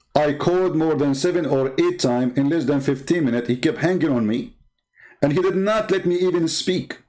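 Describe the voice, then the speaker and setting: A man with an Arabic accent, a fairly high pitch, ordinary pitch variation, very even loudness and a fairly quick pace. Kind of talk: online video monologue. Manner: animated.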